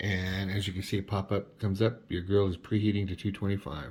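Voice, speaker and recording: This man's voice sits at a fairly low pitch and sounds somewhat breathy. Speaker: cooking video host. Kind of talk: tutorial.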